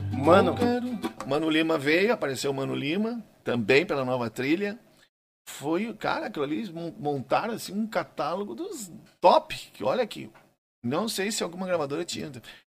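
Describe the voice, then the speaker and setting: There are long, frequent pauses as a man speaks at a moderate pace. His pitch is fairly high and swings very widely. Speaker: gaucho music singer. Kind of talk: casual interview chat.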